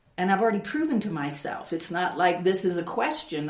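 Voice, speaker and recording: There is audible room echo as a woman of medium pitch speaks with ordinary pitch variation. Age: 60s. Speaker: builder and artist. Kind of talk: interview testimony.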